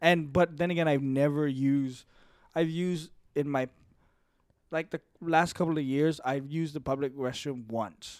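With long, frequent pauses, a man speaks at a moderate pace in a fairly high pitch and fairly even intonation. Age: 20s. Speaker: podcast host. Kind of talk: casual chat. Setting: studio.

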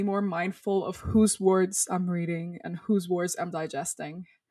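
A woman speaks at medium pitch with a Spanish accent. Her pace is fairly slow. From Dominican Republic. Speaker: storyteller and activist. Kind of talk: interview. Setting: video call.

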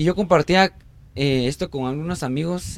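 The speaker has a plain, everyday voice and a moderate pace. The intonation is lively. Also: man. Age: 20s. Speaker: architect and missionary. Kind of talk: casual chat.

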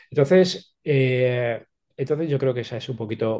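Dark, mellow male voice at medium pitch with ordinary pitch variation. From Spain, Alicante province (Petrer). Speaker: sales expert and author. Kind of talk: interview, expert advice.

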